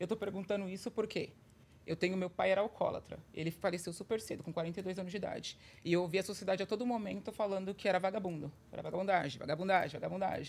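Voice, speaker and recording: Moving at a very fast pace, a woman speaks at a medium pitch with fairly even intonation. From Brazil. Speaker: podcast co-host. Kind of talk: casual chat. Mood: earnest, personal. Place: studio. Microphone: studio mic.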